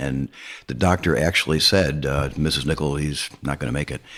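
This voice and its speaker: Vocal fry marks this man's very deep, low voice as he speaks at a fairly quick pace. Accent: American. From Arizona, US West. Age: 70s. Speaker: educator on death and dying. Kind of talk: interview. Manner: halting.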